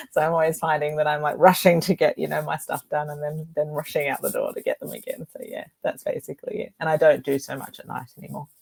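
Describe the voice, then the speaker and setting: In a strong Australian accent, a woman speaks at a very fast pace with hardly any pauses, in a dry, close sound with no echo. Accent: broad Australian. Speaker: author. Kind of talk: interview.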